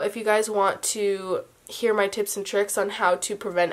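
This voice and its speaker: A woman with a medium pitch and a plain, everyday voice talks at a moderate pace. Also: very clean recording, silent background. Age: young. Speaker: beauty vlogger. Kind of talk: casual talk to camera.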